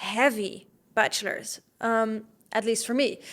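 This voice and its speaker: A woman's fairly high voice with a slight Dutch accent, on a very clean recording with a silent background. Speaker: podcast host, fitness coach. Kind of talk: podcast monologue.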